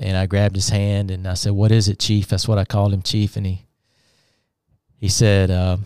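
A man with a Southern US accent speaks in a fairly low pitch and dark, mellow tone, with monotone, flat intonation at a moderate pace and long, frequent pauses, on a very clean recording with a silent background. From US South, Alabama. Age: 50s. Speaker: author and former pastor. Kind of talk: testimony. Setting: studio.

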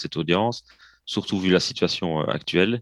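A man with a Belgian accent speaks at a moderate pace in a very deep, low pitch. The background is quiet, and the sound is dry and close with no echo. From Belgium, province of Liège. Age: 30s. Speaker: drummer and percussionist, project founder. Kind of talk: interview.

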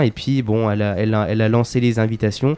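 The tone is dark and mellow, and the sound is dry and close with no echo. Delivery comes at a fairly quick pace with fairly even intonation. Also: man. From France, Vierzon (Cher). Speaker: local sports commentator and town official. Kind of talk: radio interview.

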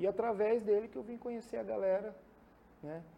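Delivered at a moderate pace, the voice has a dark, mellow tone and ordinary pitch variation. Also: man. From Mato Grosso, Brazil (Cuiabá). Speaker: music producer. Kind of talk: casual interview.

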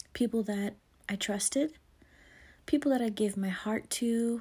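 A woman's fairly high voice, dark and mellow in tone and somewhat breathy, comes through on a very clean recording with a silent background. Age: 40s. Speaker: podcast host. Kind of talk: faith-based monologue.

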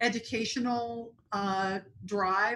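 With a slight Tennessee accent, a woman speaks at medium pitch in a bright, sharp tone, her pitch varying in an ordinary way. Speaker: HR executive. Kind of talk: interview.

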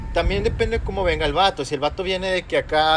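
A man is speaking. Music plays in the background. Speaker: podcast co-host. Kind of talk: casual chat.

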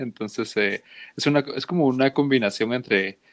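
Over a quiet background, a man talks at a fairly slow pace with ordinary pitch variation in a dry, close sound with no echo. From Guatemala City. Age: 20s. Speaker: podcast co-host, graphic designer. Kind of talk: casual chat.

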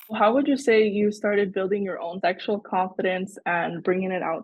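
In an ordinary speaking voice, a woman talks at a medium pitch with fairly even intonation. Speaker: podcast host, student. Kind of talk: casual interview chat.

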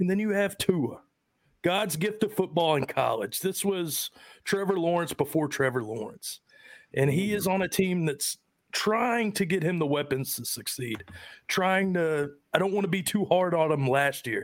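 A man with a high pitch speaks at a moderate pace with lively intonation. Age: 30s. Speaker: fantasy football podcast host. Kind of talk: casual chat. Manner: animated.

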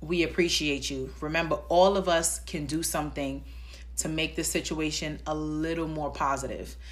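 A woman in a New York accent, with audible room echo. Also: moderate pace. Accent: New York (Bronx). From New York, the Bronx. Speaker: podcast host. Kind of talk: solo podcast monologue.

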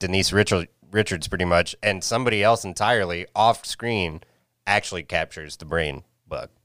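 A man with an unremarkable speaking voice, moderately paced and ordinary in pitch variation, is heard in a very clean recording against a silent background. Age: 30s. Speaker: podcast co-host. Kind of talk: casual chat. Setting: studio.

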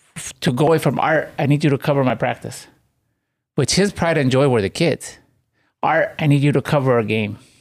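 A plain, everyday voice from a man, fairly high in pitch with ordinary pitch variation, on a very clean recording with a silent background. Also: fairly quick pace. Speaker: team member, coach, storyteller. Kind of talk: casual panel discussion, personal story.

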